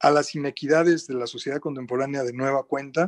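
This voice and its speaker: A man's fairly high voice in a Mexico City accent, with a dry, close sound, no echo and a quiet background. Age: 50s. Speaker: writer, editor and translator. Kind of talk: radio interview.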